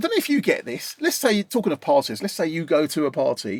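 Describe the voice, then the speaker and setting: A man in an Essex accent, animated, fairly quick, with very wide pitch swings and a dry, close sound with no echo. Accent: Essex accent, milder than his guest's. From East London / Essex, England. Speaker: mixing and mastering engineer, channel host. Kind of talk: casual chat. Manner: casual, animated.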